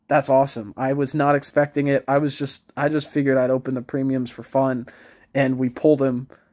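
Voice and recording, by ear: A man puts on a character voice at a medium pitch, mumbling in a flat monotone at a fairly quick pace on a very clean recording with a silent background.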